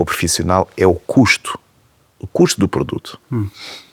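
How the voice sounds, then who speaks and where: With lively intonation, a man speaks at a moderate pace in a dry, close sound with no echo. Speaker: TV talk show host. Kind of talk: interview questions.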